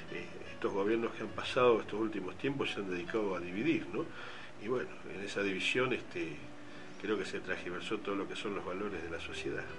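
Noticeable background noise and audible room echo surround the speaker. He is a man with a fairly low pitch and ordinary pitch variation. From Argentina, Bahía Blanca. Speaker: doctor, hospital emergency department head. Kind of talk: radio interview. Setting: radio studio. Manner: hesitant, many fillers.

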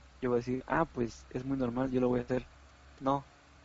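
With a Mexican accent, a man speaks at a medium pitch. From Mexico, Oaxaca. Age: 20s. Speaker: podcast host. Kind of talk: casual chat.

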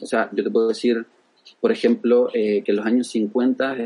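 A man speaks at a fairly slow pace with a medium pitch. He has a plain, everyday voice. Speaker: UX designer and design teacher. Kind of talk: interview.

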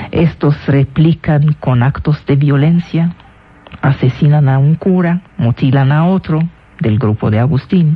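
Over noticeable background noise, a woman with a very deep, low pitch speaks at a very slow pace, her loudness very even and her pitch varying in an ordinary way. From Syria (Damascus). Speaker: radio host and lecturer. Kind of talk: radio lecture.

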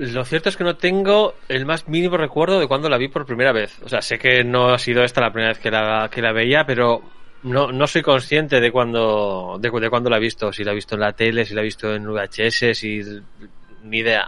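With music playing in the background, a man speaks at a moderate pace in a medium-pitched voice with ordinary pitch variation. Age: 40s. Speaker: film podcast panelist. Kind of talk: casual chat.

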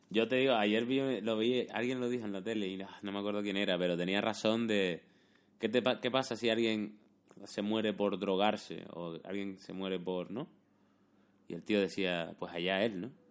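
Using a normal speaking voice, a man talks at a moderate pace. His pitch is fairly low and his intonation fairly even. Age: 30s. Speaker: YouTuber and podcast host. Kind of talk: casual chat.

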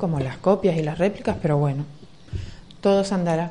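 A woman with a fairly low pitch speaks with lively intonation. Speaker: local councillor. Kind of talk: radio interview. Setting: radio studio. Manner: fast.

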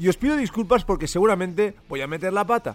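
Talking very fast, a man with a high voice uses lively intonation. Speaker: music radio and podcast host. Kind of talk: solo podcast monologue. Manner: informal, some hesitations.

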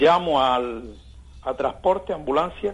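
The man's pitch swings very widely up and down. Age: 60s. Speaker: caller, wheelchair user. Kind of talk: complaint story. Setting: phone call.

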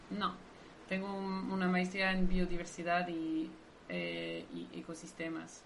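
A woman with a non-native accent speaks at a very slow pace. Noticeable background noise and audible room echo surround her voice. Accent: foreign accent in Spanish. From Belgium, Brussels. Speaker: marine biologist. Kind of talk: interview.

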